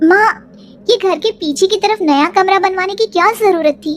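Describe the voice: A woman does a cartoonish character voice at an extremely high pitch. She talks at a fairly quick pace with ordinary pitch variation.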